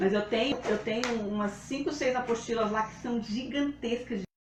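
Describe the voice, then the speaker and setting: A woman speaks with a high pitch and ordinary pitch variation. The room echo is audible. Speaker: live demonstration host, home food storage. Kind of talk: live tutorial. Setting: livestream. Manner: fast.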